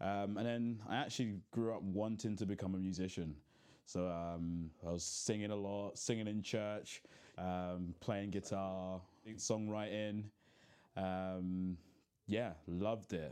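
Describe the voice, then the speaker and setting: Slow-paced and fairly low, a man's dark, mellow voice keeps fairly even intonation. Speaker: podcast host. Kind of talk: casual chat.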